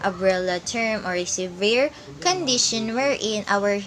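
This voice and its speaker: A woman talks at a fairly slow pace over light background noise. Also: ordinary pitch variation. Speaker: presenter. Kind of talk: tutorial. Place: home room. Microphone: phone near.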